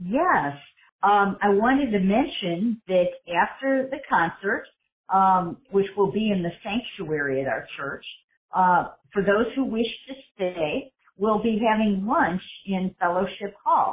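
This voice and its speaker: Lively intonation at a very slow pace, with an American accent. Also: woman, medium pitch for a woman. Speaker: church host. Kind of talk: interview promoting an event.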